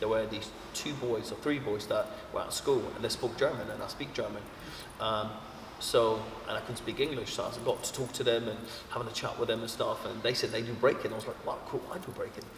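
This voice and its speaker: This man's fairly quick speech is heard with audible room echo and noticeable background noise. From Poland, Roma family. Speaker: hip hop dancer and community arts founder. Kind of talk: interview testimony. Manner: casual, with fillers and repetitions.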